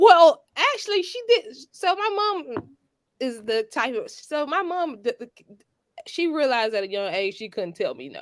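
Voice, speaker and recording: With a Georgia accent, a woman talks at a moderate pace and a high pitch. Her pitch swings very widely, and her loudness swings a lot. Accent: Southern (Georgia). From US South, Georgia. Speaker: lawyer. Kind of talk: podcast interview.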